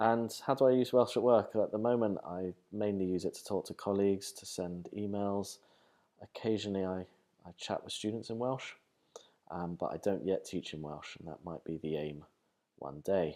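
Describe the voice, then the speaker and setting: Speaking with a London accent, a man uses a fairly low pitch and ordinary pitch variation at a moderate pace, his loudness swinging widely. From London, England. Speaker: professor. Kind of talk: interview monologue. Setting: university. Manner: halting, many fillers.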